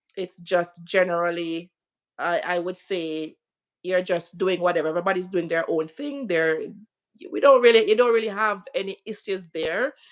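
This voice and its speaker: Speech in a Jamaican accent at a moderate pace, with ordinary pitch variation. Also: woman, medium pitch for a woman. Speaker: interview guest. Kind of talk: live stream interview.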